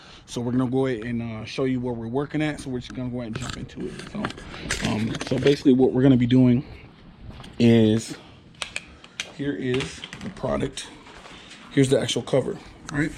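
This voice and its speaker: Over noticeable background noise, a man with a medium-pitched voice speaks at a fairly quick pace in fairly even intonation, with long, frequent pauses. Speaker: car channel host. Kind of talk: tutorial.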